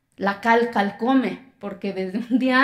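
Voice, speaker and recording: A woman speaks in a fairly high pitch. Her pitch variation is ordinary. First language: Zapotec (speaking Spanish). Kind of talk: TEDx talk.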